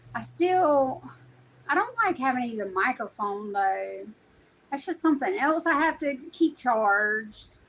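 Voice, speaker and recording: In a strong Southern US accent, the speaker talks at a fairly slow pace with very wide pitch swings. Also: woman, high pitch for a woman. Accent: strong Southern country. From US South, South Carolina. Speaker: content creator. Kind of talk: casual vlog chat.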